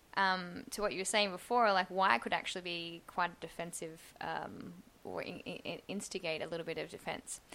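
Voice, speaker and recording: Speaking with an Australian accent, a woman has a bright, sharp tone and vocal fry at a fairly low pitch. Her pace is moderate and her pitch variation ordinary. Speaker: UX designer. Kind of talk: casual chat.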